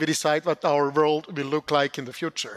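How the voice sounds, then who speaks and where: The sound is dry and close, without any echo. The speaker is a man. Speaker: CEO presenting funding opportunities. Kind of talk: conference presentation. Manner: loud.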